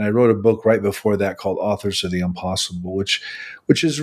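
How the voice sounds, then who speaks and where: Speaking very fast, a man keeps his voice fairly low. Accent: Midwestern US. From US Midwest, Nebraska. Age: 60s. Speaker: religion scholar and author. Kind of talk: interview.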